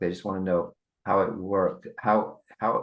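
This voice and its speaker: A man speaks at a moderate pace in a very deep, low pitch. His intonation is fairly even. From England. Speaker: sales coach and author. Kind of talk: interview conversation. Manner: halting, many restarts.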